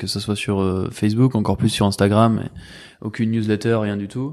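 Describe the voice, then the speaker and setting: A man with a normal speaking voice, medium in pitch and fairly even in intonation, at a fairly quick pace over a quiet background. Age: 20s. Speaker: magazine co-founder. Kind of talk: casual chat.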